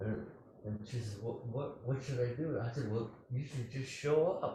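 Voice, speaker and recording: Male voice at a medium pitch, with audible echo from the room. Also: ordinary pitch variation, moderate pace. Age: 80s+. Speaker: Zen teacher. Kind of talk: dharma talk; answering a question. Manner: halting.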